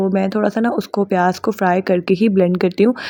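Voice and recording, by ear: Speaking at a fairly quick pace, a woman uses a medium pitch, fairly even intonation and a slightly mellow tone.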